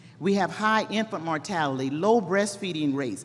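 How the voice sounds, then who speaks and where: A woman with an American accent, medium pitch and moderate pace, with audible room echo. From Texas. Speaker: public health program worker. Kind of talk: conference presentation. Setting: stage with audience. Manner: animated.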